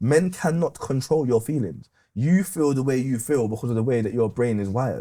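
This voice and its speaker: A man speaks at a fairly quick pace, his pitch in the medium range. His tone is dark and mellow. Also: lively intonation. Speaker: podcast guest, retired gas engineer. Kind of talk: casual chat.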